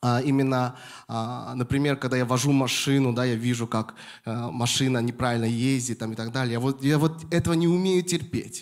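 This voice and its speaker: A man talks at a moderate pace and a medium pitch with ordinary pitch variation, against a quiet background. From Moscow, Russia. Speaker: pastor. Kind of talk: sermon. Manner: halting, with frequent fillers. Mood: warm, smiling, animated. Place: church. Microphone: handheld.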